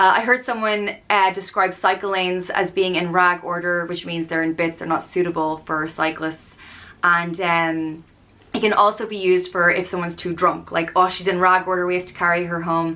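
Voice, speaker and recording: With an Irish accent, a woman talks at a moderate pace in a fairly low pitch, her bright, sharp tone delivered in a monotone, flat intonation. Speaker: YouTuber explaining slang. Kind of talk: casual tutorial. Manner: conversational, with fillers.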